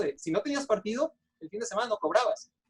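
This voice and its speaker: In a dry, close sound with no echo, a man rattles off his words at a very fast pace. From Mexico. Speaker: sports journalist. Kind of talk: interview. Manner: halting, many fillers.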